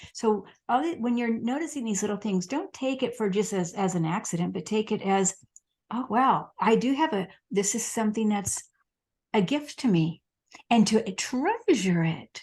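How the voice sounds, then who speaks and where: The woman's voice is fairly high and somewhat breathy. Her intonation is lively, at a moderate pace. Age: 60s. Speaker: medium. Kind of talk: casual interview chat.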